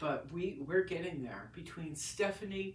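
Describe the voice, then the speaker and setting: Audible room echo surrounds a woman's voice. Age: 60s. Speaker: painter. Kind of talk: casual vlog monologue. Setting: home, recording on iPad. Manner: halting, many restarts.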